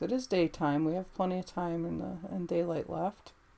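Moderate pace from a woman with a fairly low pitch. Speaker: gameplay commentator. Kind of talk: casual gameplay commentary. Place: home room.

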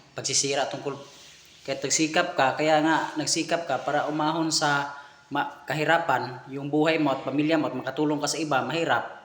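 Noticeable background noise sits behind a man talking at a fairly quick pace. His pitch is fairly high, and his intonation is monotone and flat. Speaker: vlogger commenting on a clip. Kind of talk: casual commentary.

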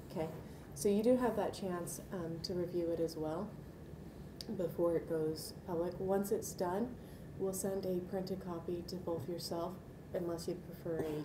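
A woman's fairly low voice at a moderate pace, with fairly even intonation and noticeable background noise. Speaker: archivist. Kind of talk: interview, professional explanation. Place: meeting room.

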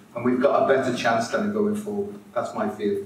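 There is audible room echo around this man as he talks, plus light background noise. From Merseyside, England; England. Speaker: integrative health consultant and speaker; conference speaker. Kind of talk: conference talk to live audience; lecture. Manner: animated. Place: hall. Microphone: podium.

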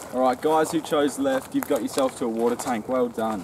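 Moderate pace over noticeable background noise. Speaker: video host. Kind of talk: casual vlog chat. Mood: joking, playful. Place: open country.

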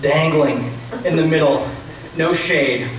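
A man talks at a slow pace amid strong room echo.

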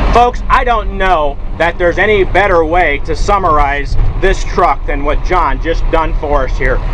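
A man's words come at a medium speed against noticeable noise in the background. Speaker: truck salesman. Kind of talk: hard-sell closing pitch urging viewers to phone now. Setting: outdoors walkaround beside a running truck. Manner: pushy, emphatic pitchman pressing urgency and scarcity; repetitive folksy address, peppering lines with folks. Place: car. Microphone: phone near.

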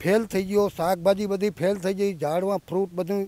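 The man's voice is high-pitched with a dark, mellow tone. He speaks in a monotone, flat intonation, and the sound is dry with no echo. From Gujarat, India. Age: 70s. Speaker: farmer. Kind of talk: testimony. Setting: outdoors in a flooded farm field. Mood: distressed, earnest. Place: farm. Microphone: handheld.

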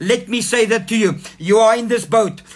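A man talks at a moderate pace with a high pitch and an animated, warm tone. Music plays in the background. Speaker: pastor. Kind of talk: sermon. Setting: online church livestream. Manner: animated, fervent, calling for 'amen' responses; warm, exhortative. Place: home room. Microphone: phone near.

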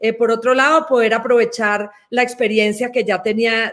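Against a quiet background, a woman with a Colombian accent speaks at a moderate pace. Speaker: development bank executive, systems engineer. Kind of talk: interview answers. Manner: frequent hesitations, many fillers. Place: office. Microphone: webcam.

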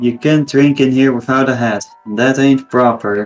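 Faint music plays behind a man doing a put-on character voice, shrill at a medium pitch. He keeps a moderate pace.

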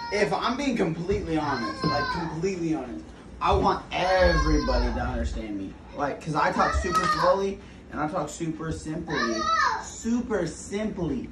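A man speaks at a moderate pace while crowd noise fills the background. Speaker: casual vlogger. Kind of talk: casual vlog chat. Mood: playful, earnest advice. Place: kitchen.

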